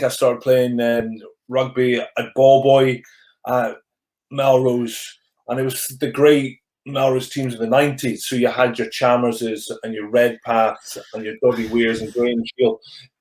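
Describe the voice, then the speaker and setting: On a very clean recording with a silent background, a man with a Scottish accent speaks fairly slowly in a flat monotone. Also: medium pitch for a man. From Scottish Borders. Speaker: rugby coach, former rugby player. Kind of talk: interview answer. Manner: has a stammer.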